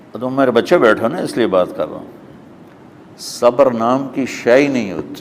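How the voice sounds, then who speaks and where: Over noticeable background noise, a man speaks at medium pitch with ordinary pitch variation and big swings in loudness. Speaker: Islamic scholar. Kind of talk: religious sermon.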